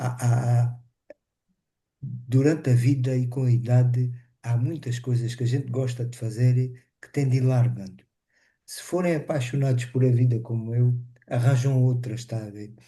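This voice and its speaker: A man's somewhat breathy, dark, mellow voice at medium pitch and moderate pace, monotone and flat, with long, frequent pauses and audible room echo. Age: 60s. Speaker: webinar participant living with multiple sclerosis. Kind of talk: casual testimony. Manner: halting.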